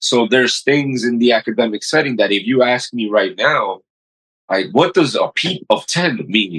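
With an American accent, a man speaks at a moderate pace. His pitch sits in the medium range, and his intonation is lively. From New York City, Queens. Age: 40s. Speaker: paramedic and physician. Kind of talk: casual interview.

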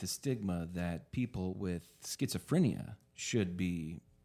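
Heard on a very clean recording with a silent background, a man with an unremarkable speaking voice talks at a fairly slow pace with a fairly low pitch and ordinary pitch variation. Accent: American. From Oklahoma. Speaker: dispensary owner. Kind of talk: casual chat.

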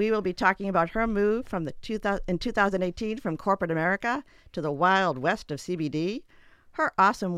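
Over a very clean recording with a silent background, a woman with an unremarkable speaking voice talks at a fairly quick pace in a medium pitch. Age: 50s. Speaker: podcast host, former attorney. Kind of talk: interview; scripted intro. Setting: studio.

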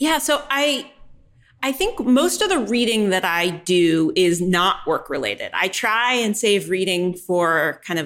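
With an American accent and an unremarkable speaking voice, a woman of medium pitch talks at a fairly slow pace with lively intonation. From New York. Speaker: tech executive, head of data analytics. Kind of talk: interview.

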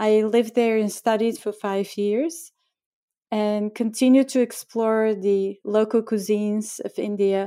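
A woman speaks with a Bulgarian accent. Her dark, mellow tone sits at a fairly high pitch. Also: very clean recording, silent background. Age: 50s. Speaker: chef and cookbook author. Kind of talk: interview.

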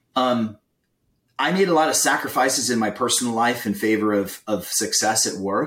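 In an ordinary speaking voice, a man talks at a moderate pace with a medium pitch. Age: 50s. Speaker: sales leader. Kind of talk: casual chat.

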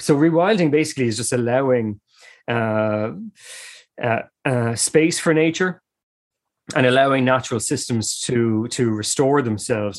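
A man with an Irish accent at a medium pitch, ordinary pitch variation and a moderate pace, in a very clean recording with a silent background. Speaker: ecologist and environmental campaigner. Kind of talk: interview.

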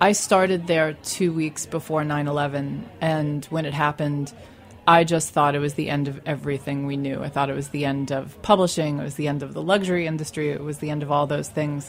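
A woman's very deep, low voice with an American accent, fairly quick and fairly even in intonation, over noticeable background noise. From Staten Island, New York. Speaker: magazine founder. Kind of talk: casual chat. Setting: studio.

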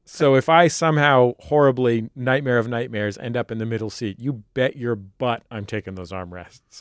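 An unremarkable speaking voice from a man, medium in pitch, with ordinary pitch variation, a moderate pace, hardly any pauses and big swings in loudness, in a dry, close sound with no echo. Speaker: podcast co-host and bailiff. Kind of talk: scripted show introduction. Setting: studio.

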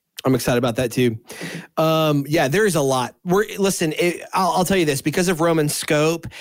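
The pace of this man's speech is fairly quick. He has a fairly high pitch. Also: ordinary pitch variation, very even loudness. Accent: Texan. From Southeast Texas. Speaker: podcast host. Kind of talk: casual discussion of Bible study.

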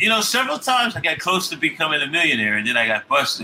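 With an American accent, a man talks in very wide pitch swings. There is noticeable background noise. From New Jersey. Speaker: cannabis activist. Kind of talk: casual chat.

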